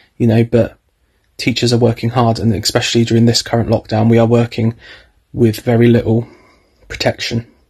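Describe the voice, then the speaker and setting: A man talks at a fairly quick pace, sounding somewhat breathy. The background is quiet. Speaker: drama teacher. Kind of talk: casual vlog chat. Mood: frustrated, earnest. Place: home room. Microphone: phone near.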